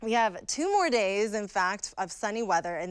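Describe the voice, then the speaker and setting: A woman with an American accent speaks at a moderate pace and medium pitch in a plain, everyday voice. The recording is very clean, with a silent background. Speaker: TV meteorologist. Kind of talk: TV weather forecast.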